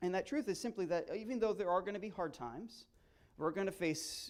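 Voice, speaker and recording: A man speaks loudly on a very clean recording with a silent background. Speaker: guest preacher. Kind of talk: sermon. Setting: church.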